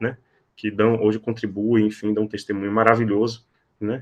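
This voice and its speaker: A man at a fairly quick pace. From Salvador, Bahia, Brazil. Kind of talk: podcast interview. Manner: frequent fillers and repetitions.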